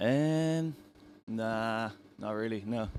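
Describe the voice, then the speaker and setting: A man with an Irish accent speaks at medium pitch. The recording is very clean, with a silent background. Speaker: musician. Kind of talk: casual interview. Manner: halting.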